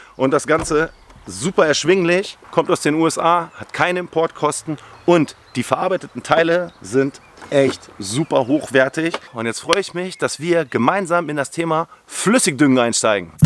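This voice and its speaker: This man has an unremarkable speaking voice, fairly high in pitch, with ordinary pitch variation and a moderate pace. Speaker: lawn care YouTuber. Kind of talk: tutorial. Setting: outdoors.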